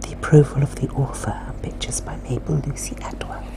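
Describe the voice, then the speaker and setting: A woman whispers in a calm tone at a moderate pace. Noticeable background noise can be heard. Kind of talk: ASMR whispered book reading. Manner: soft-spoken, whispered, calm.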